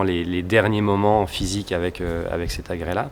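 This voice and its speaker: A man's fairly even voice moves at a moderate pace against noticeable background noise. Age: 40s. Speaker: trampoline acrobat. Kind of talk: interview about a stage creation. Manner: halting, with many fillers.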